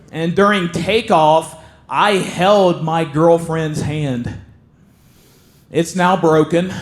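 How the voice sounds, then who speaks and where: A man with a Southern accent speaks very slowly in a high voice. His intonation stays fairly even, broken by long, frequent pauses. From southern Ohio, Appalachian border. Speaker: stand-up comedian. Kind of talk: stand-up. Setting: stage with audience.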